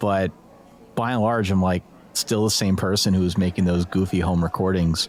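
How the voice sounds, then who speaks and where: A man with an American accent talks at a moderate pace in a very deep, low pitch. His intonation is monotone and flat, and his loudness stays very even. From Pennsylvania, US. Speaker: college football podcaster. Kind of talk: interview conversation. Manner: casual, conversational.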